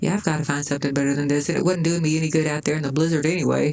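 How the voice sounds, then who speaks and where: A woman speaks with a Southern US accent in a very deep, low voice. Noticeable background noise runs beneath her. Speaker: gaming YouTuber. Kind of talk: gameplay commentary. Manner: casual, thinking aloud with fillers.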